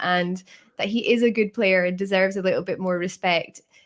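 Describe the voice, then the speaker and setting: In a northern English accent, the speaker talks at a fairly quick pace with ordinary pitch variation. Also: woman. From northern England. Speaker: podcaster. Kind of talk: casual chat.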